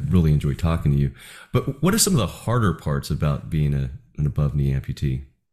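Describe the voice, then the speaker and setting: A man with an American accent talks at a very fast pace. His tone is dark and mellow, with ordinary pitch variation. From New Jersey. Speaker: podcast host. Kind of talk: interview.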